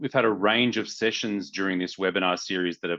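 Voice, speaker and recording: The voice has a bright, sharp tone and fairly even intonation against a quiet background. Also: man. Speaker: webinar moderator. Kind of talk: webinar introduction. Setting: video call.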